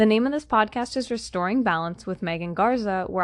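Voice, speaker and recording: A woman talks at a fairly quick pace in a plain, everyday voice. Her pitch varies in an ordinary way. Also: quiet background. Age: 20s. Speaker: holistic health coach and podcast host. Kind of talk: solo podcast monologue.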